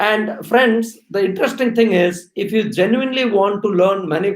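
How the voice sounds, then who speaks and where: A man talks at a moderate pace with an Indian accent. His pitch is high, with ordinary variation. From India, Odisha (Orissa-Andhra border). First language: Oriya. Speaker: HR executive. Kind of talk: live-stream talk to students. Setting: live stream while traveling. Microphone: possible bandwidth problems.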